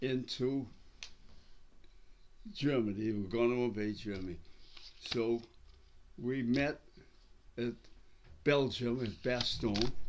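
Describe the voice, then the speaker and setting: A man with an American accent, medium pitch and ordinary pitch variation, at a very slow pace with long, frequent pauses. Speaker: World War II veteran. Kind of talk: interview answer. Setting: quiet room, recorded at city hall.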